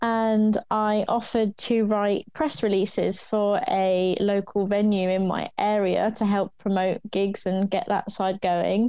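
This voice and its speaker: A woman with a southern English accent speaks at medium pitch in a dark, mellow tone, keeping a fairly slow pace with hardly any pauses. Her intonation is monotone and flat, and her loudness stays very even. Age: 20s. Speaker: music promoter. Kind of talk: interview.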